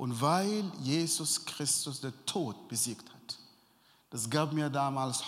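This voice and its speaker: A man's fairly high voice in an Arabic accent, very slow, with lively intonation and audible room echo. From Sudan. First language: Arabic (speaking German). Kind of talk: interview testimony. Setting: church event before sermon, audience present.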